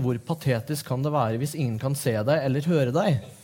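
A man talks very fast in a dark, mellow, somewhat breathy tone, his pitch fairly high with ordinary variation. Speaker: literary editor and interviewer. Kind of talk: stage interview. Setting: stage with audience. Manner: halting.

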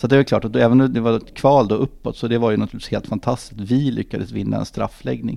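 Barely pausing, a man rattles along at a very fast pace. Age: 50s. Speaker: football club executive. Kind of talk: podcast interview. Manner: halting, many fillers and repetitions.

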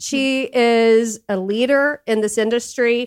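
On a very clean recording with a silent background, a woman talks. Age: 50s. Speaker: podcast host and therapist. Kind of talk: casual chat. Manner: animated.

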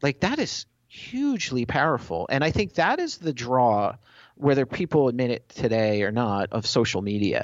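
A man with a plain, everyday voice, medium pitch, lively intonation and a moderate pace. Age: 40s. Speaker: tech company evangelist. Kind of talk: interview.

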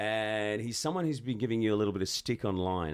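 In an Australian accent, a man talks at a fairly quick pace with a fairly low pitch and ordinary pitch variation. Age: 40s. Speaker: podcast host. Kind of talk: casual chat.

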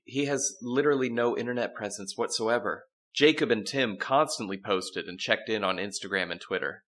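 Against a quiet background, this is plain reading aloud. Pitch variation is ordinary.

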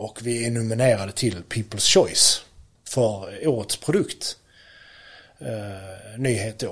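A somewhat breathy voice speaks at a very slow pace with ordinary pitch variation, on a very clean recording with a silent background. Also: man, medium pitch for a man. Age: 30s. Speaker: electrician and product entrepreneur. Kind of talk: interview.

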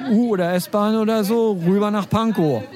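With crowd noise behind him and audible echo in the room, a man talks with fairly even intonation. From Schleswig-Holstein, Germany. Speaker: online journalist and columnist. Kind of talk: casual interview chat. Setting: outdoors in front of a cafe.

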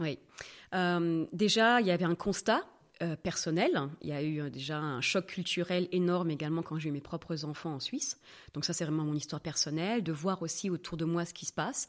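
Her pitch varies in an ordinary way as this woman talks at a moderate speed. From France, Normandy. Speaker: sexologist. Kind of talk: podcast interview. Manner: lively.

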